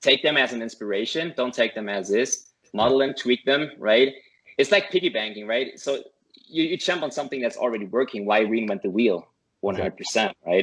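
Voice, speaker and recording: A man with a German accent, medium pitch, lively intonation and a fairly quick pace. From Germany. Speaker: affiliate marketer, course student. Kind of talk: interview. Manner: halting, many repetitions.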